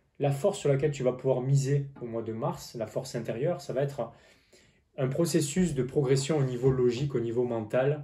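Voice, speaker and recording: This man's voice has a dark, mellow tone and is somewhat breathy. He talks at a moderate pace. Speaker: tarot reader and business coach. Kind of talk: tarot reading monologue. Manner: halting.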